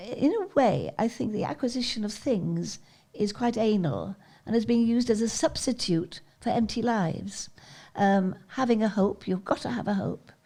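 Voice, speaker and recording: A woman with a fairly high pitch has a dark, mellow tone that is somewhat breathy. She speaks at a moderate pace. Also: ordinary pitch variation. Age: 80s+. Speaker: charity founder and skydiver. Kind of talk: interview answer.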